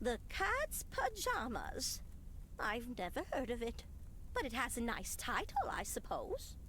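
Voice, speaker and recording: A woman in a put-on character voice at a fairly slow pace, over clear background noise. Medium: video game. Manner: warm, doting.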